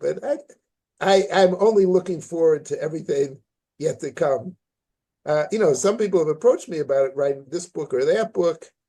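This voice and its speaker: Here is a man with an American accent. He speaks at a moderate pace in a dark, mellow tone. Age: 70s. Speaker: journalist and author. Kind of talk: interview. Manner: halting, many repetitions.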